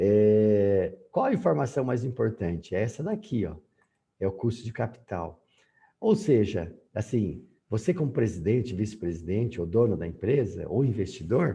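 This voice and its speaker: A man with a dark, mellow tone and lively intonation sounds somewhat breathy. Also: moderate pace. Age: 60s. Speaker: university professor. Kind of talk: lecture. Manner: halting, many fillers.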